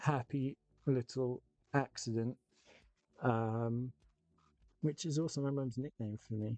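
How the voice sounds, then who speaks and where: Over music in the background, a man with an English accent speaks very slowly at a medium pitch with fairly even intonation, in a dry, close sound with no echo. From England. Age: 30s. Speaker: miniature painting streamer. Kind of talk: casual live-stream chat while painting. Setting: live stream.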